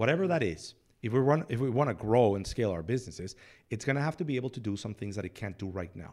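Very fast speech with lively intonation comes through on a very clean recording with a silent background. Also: man, medium pitch for a man. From Mexico City. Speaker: business consultant. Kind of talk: casual interview. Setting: studio.

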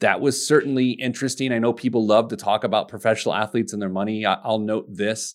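Someone with an American accent talks at a very fast pace with hardly any pauses and fairly even intonation. The recording is very clean with a silent background. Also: man, medium pitch for a man. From US Midwest, Indianapolis, Indiana. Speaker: financial advisor and business owner. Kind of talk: interview.

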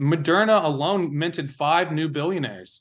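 Against a quiet background, a man with an American accent uses an unremarkable speaking voice, pitched fairly high, at a moderate pace. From Washington DC area, US. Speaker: journalist. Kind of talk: interview.

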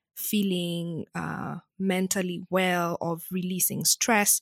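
A woman at a medium pitch, very slow pace, in a very clean recording with a silent background and a dry, close sound with no echo. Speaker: podcast host. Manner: warm, giggly.

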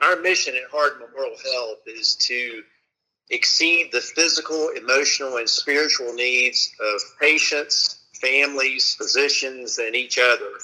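A man speaks at a fairly slow pace. He has a Southern US accent. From US South (Florida/Alabama). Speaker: hospital executive. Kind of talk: interview.

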